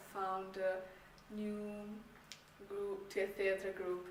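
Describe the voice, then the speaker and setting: Audible room echo and noticeable background noise surround speech delivered at a very slow pace. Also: woman. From Czech Republic. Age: 18. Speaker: university applicant, student performer. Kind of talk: application video self-introduction. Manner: hesitant, many fillers.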